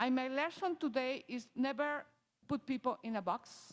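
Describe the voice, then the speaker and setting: A woman talks in a high voice. Her pitch moves in an ordinary way. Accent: strong non-native. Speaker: parent advocate for transgender child. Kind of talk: personal testimony. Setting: church service, in person and on video call. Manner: halting, with restarts.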